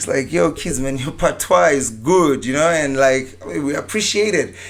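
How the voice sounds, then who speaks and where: Over noticeable background noise, a man with a Zimbabwean accent talks at a moderate pace in a fairly high voice with lively intonation. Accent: African accent, Zimbabwean. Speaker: dancehall and reggae artist. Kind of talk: casual podcast interview.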